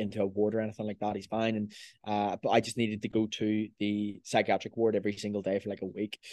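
A man speaks at a fairly quick pace and fairly low pitch. The sound is dry and close with no echo, over a quiet background. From Northern Ireland, Belfast. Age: 20s. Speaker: online fitness coach. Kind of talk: casual chat.

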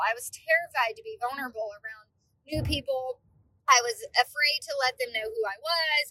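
With a raised, projected voice and a high pitch, a woman talks at a fairly quick pace in a bright, sharp tone, her intonation lively and her loudness swinging widely, all in a dry, close sound with no echo. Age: 30s. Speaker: podcast host. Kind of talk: casual monologue. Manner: animated.

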